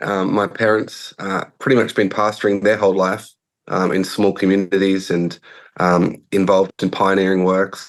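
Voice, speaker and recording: Speaking in an Australian accent, a man keeps a fairly low pitch at a moderate pace. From Australia, rural South Australia. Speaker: pastor and church planter. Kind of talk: interview. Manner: hesitant, many fillers.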